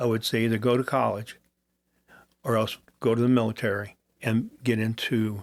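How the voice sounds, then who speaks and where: Monotone and flat, a man talks at a moderate pace in a medium pitch. He leaves long, frequent pauses. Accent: Midwestern American. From US Midwest. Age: 70s. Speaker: retired police chief. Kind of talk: interview. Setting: studio.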